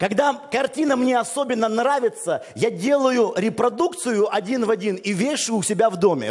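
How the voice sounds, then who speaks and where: With an extremely high voice, a man speaks at a moderate pace in an animated tone with lively intonation over noticeable background noise. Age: 40s. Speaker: pastor. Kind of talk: sermon.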